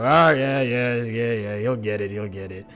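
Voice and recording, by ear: A man's growling, put-on character voice, medium in pitch, with ordinary pitch variation and a moderate pace.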